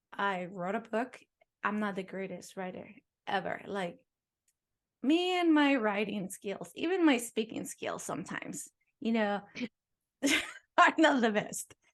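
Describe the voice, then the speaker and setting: Speaking slowly with long, frequent pauses, a woman with a non-native accent uses a fairly high pitch and very wide pitch swings. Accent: noticeable foreign. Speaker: podcast host, dancer and author. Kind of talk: casual chat.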